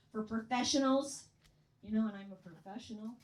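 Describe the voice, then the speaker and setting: A woman with an American accent speaks fairly quickly, with noticeable background noise behind her. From US Midwest, Chicago area. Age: 60s. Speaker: comedian. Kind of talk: stand-up. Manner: animated.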